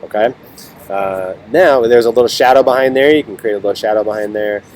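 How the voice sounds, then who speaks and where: Against noticeable background noise, a man with a medium pitch and ordinary pitch variation talks at a very fast pace. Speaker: teacher. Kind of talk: tutorial.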